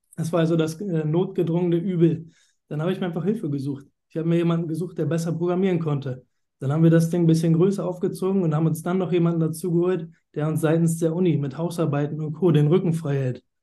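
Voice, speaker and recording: A man speaks at a very fast pace with a high pitch. His tone is dark and mellow. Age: 30s. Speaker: finance manager. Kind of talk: interview. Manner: animated.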